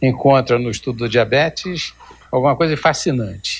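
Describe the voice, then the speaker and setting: At a fairly slow pace, a man speaks in a somewhat breathy voice with a fairly high pitch. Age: 60s. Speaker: endocrinologist. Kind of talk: TV interview.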